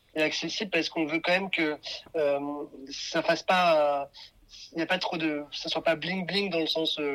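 This man talks at a moderate pace with a fairly high pitch, a monotone, flat delivery, and long, frequent pauses. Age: 30s. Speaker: fashion brand founder. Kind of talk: interview.

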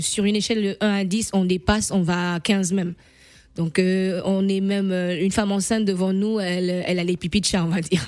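A woman of medium pitch talks at a fairly quick pace in a monotone, flat intonation. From Gabon, Libreville. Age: 40s. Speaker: patient advocacy founder. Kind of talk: radio interview testimony.

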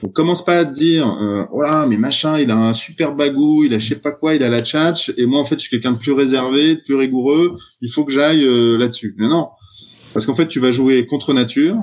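A man talks at a fairly quick pace in an ordinary speaking voice. His pitch is fairly high and varies in an ordinary way. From France, Troyes. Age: 40s. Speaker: startup founder. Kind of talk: podcast interview.

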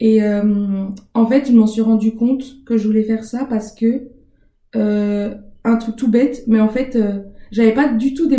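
Fairly high in pitch, a woman's somewhat breathy voice with a dark, mellow tone moves at a fairly slow pace with fairly even intonation. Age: 20s. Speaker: master's student. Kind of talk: casual interview. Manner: hesitant, many fillers.

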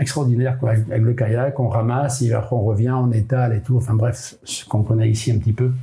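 Medium pitch and moderate pace from a man, over noticeable background noise. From Brittany, France (island of Molène). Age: 70s. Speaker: sailor and adventurer. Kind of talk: interview storytelling. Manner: halting with frequent repetitions.

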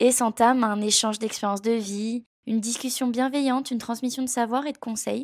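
A woman talks at a fairly quick pace in an unremarkable speaking voice. Her pitch sits fairly high, with fairly even intonation. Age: 20s. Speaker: podcast host, freelance graphic designer. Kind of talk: scripted narration.

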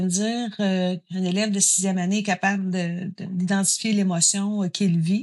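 Over a quiet background, a woman with an ordinary speaking voice talks at a fairly slow pace, her medium pitch showing ordinary variation. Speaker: psychoeducator. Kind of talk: interview.

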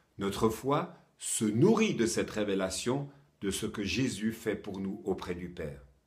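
A man talks with a fairly low, somewhat breathy voice. His pace is fairly slow and his intonation lively. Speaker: preacher. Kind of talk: sermon, short teaching. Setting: home, recorded for online viewers during lockdown. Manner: earnest, warm, encouraging; clear, measured, didactic.

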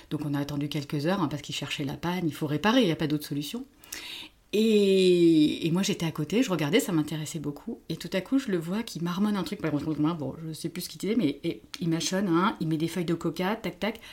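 In an ordinary speaking voice, a woman talks at a fairly quick pace with a fairly low pitch and ordinary pitch variation. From France. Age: 50s. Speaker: therapist. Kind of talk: casual chat.

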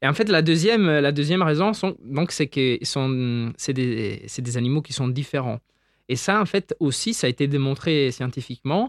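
A man with an unremarkable speaking voice and a fairly high pitch talks at a moderate pace with lively intonation. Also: dry, close sound with no echo, very clean recording, silent background. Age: 20s. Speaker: doctoral researcher in insect ecology. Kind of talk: interview, popular science explanation.

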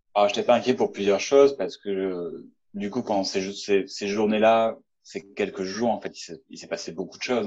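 A man's fairly low voice holds fairly even intonation and moves at a moderate pace. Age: 30s. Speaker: engineer. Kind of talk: testimony. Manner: halting.

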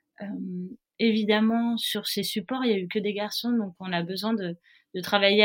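A woman with a southern French accent speaks at a moderate pace in a medium pitch, her intonation fairly even. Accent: soft southern French. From southern France, Nice. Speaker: professional offshore sailor. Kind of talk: interview. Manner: hesitant, many fillers.

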